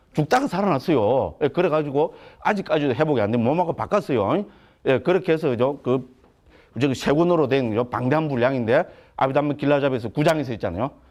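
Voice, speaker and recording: Over a quiet background, a man in a Gyeongsang accent talks at a very fast pace with a fairly high pitch, an animated tone, lively intonation and very even loudness. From Gyeongsang province, Korea. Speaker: Buddhist monk lecturer. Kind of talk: lecture. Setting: lecture hall with audience. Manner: animated, conversational.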